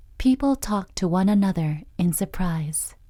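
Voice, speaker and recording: A woman talks at a very slow pace in a dark, mellow, somewhat breathy tone, with ordinary pitch variation. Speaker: voice actress. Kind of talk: children's Bible story narration.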